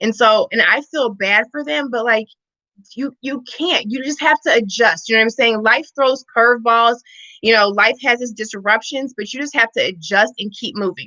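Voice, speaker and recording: A woman with an American accent speaks in a fairly high voice and an animated tone. Her pace is moderate, and her pitch varies in an ordinary way. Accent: Missouri accent, noted by others. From Missouri, US Midwest. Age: 30s. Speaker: fitness and wellness coach. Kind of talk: casual livestream chat. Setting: live stream.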